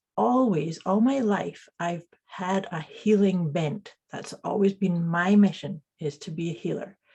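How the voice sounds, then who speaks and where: Speaking with a Scottish accent, a woman at a medium pitch goes at a fairly slow pace with hardly any pauses. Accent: Scottish, noticeable. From Scotland (teen years), born in Canada. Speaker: intuitive coach and energy healer. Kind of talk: interview conversation. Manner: halting, repeats words.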